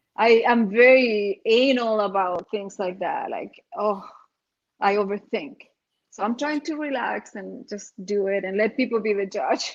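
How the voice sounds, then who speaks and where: A woman's fairly high voice in a strong Chilean accent, at a fairly slow pace. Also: ordinary pitch variation. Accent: heavy Chilean Spanish. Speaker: RV nomad vlogger. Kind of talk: casual chat.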